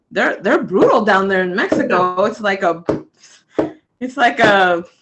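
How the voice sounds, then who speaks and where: A woman at medium pitch, fairly slow in pace, with ordinary pitch variation. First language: Spanish. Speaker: basketball player. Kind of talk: interview.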